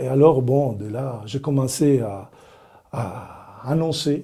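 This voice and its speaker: A man's somewhat breathy voice, fairly high in pitch, with a dark, mellow tone. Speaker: religious brother, evangelist. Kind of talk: personal testimony to camera. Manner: friendly, warm.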